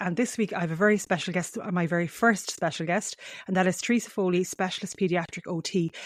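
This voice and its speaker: Talking at a very fast pace, a woman with a strong western Irish accent keeps a medium pitch and fairly even intonation. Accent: heavy Mayo Irish. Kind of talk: podcast interview intro. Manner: rambling, uses fillers often.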